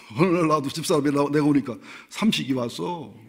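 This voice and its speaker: Room echo can be heard around the voice. A man's speech moves at a fairly quick pace. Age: 60s. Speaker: pastor. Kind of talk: sermon. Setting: church. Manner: conversational.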